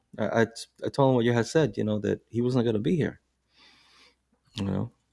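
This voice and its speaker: This man's voice has a dark, mellow tone at a medium pitch, moving at a fairly quick pace with ordinary pitch variation and a dry, close sound with no echo. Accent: New York. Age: 60s. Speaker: podcast co-host, bus driver. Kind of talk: casual chat.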